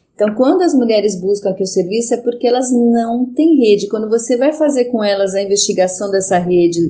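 Speaking at a moderate pace, a woman has a dark, mellow tone and ordinary pitch variation. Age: 50s. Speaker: psychologist. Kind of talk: interview.

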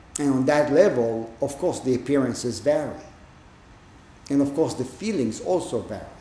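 A man speaks at a moderate pace in a fairly high pitch and a dark, mellow tone, with ordinary pitch variation. Long, frequent pauses come through with audible room echo. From Israel. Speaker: Zen teacher. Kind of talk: dharma talk.

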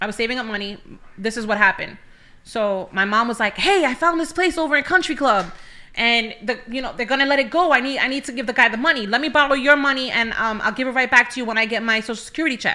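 With a New York accent, the speaker talks at a very fast pace in a bright, sharp tone with ordinary pitch variation. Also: woman, high pitch for a woman. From New York City (Bronx). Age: 30s. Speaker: church welcome ministry leader. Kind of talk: testimony.

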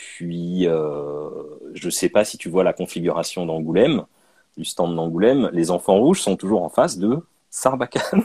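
A man speaks at a fairly slow pace with big swings in loudness. The sound is dry and close, with no echo. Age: 30s. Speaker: comic book author and illustrator. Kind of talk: interview. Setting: video call. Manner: halting.

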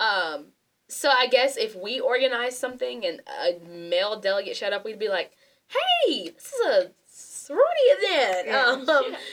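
The woman's high voice leaps across a very wide range. Her pace is moderate. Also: big swings in loudness. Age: 20s. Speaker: student guest. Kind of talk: casual discussion.

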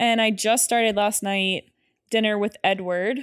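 Recorded very cleanly against a silent background, a woman with a fairly high pitch and ordinary pitch variation has an unremarkable speaking voice. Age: 30s. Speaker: podcast co-host. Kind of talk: casual chat.

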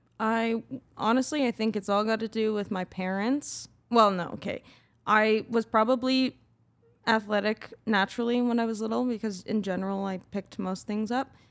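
In a Canadian accent, a woman with an unremarkable speaking voice talks at a fairly high pitch with fairly even intonation, on a very clean recording with a silent background. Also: moderate pace. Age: 20s. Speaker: professional ski jumper. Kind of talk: casual interview.

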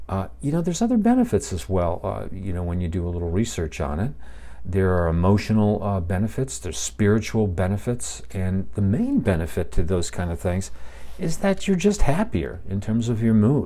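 A dark, mellow, somewhat breathy voice with a relaxed tone moves through very wide pitch swings. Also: man, very deep, low pitch for a man, moderate pace. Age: 60s. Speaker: podcast host. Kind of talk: casual solo monologue. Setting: home podcast setup, live. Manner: relaxed, with filler words.

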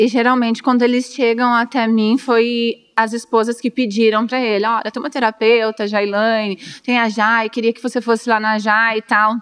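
With hardly any pauses, a woman talks at a moderate pace in a fairly high, monotone, flat voice. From Brazil, Dourados (Mato Grosso do Sul). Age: 30s. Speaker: therapist and restaurant owner. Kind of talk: interview.

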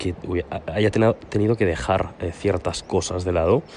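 Over noticeable background noise, a man speaks at a very deep, low pitch with fairly even intonation. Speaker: podcast host. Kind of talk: casual monologue. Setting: outdoors on a terrace. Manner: soft-spoken.

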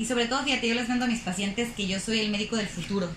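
A woman speaks with ordinary pitch variation. Noticeable background noise and audible room echo accompany her voice. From Mexico, Guadalajara, Jalisco (Zapopan). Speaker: sports nutritionist. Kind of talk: casual interview.

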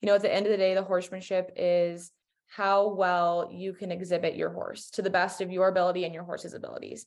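Speaking fairly quickly in an American accent, a woman keeps a medium pitch with monotone, flat intonation. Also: quiet background. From US West, Colorado. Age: 20s. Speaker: equestrian champion. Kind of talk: casual chat.

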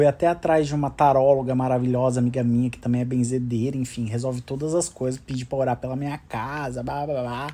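A man's dark, mellow tone at a moderate pace. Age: 30s. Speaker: podcast host. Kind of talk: casual monologue. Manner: animated.

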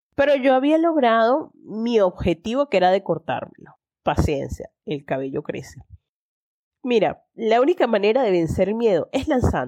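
A woman with fairly high pitch, very wide pitch swings, a dark, mellow tone and a moderate pace. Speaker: podcast host. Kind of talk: solo monologue. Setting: in bed. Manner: hesitant, repeats words.

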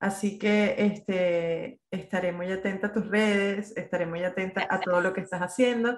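The woman's delivery is monotone and flat. Her speed is moderate. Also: medium pitch for a woman, hardly any pauses. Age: 40s. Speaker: podcast host. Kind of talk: casual interview.

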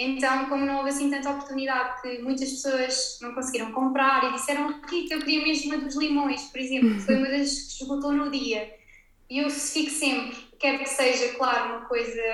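A woman talks at a fairly quick pace in a high voice with monotone, flat intonation. Audible room echo is present. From Portugal, Algarve. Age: 20s. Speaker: ceramics brand owner. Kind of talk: interview. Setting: her studio, remote recording.

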